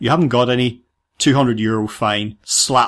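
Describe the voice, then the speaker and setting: In a very clean recording with a silent background, a man with a British accent speaks at a moderate pace. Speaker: podcast host. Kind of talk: interview.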